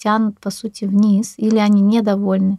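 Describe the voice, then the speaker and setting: In a very clean recording with a silent background, a woman with a fairly high pitch and a dark, mellow tone speaks in a flat monotone, the sound dry and close with no echo. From Russia, Ufa. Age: 30s. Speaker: energy practitioner, divorced mother. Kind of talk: casual interview.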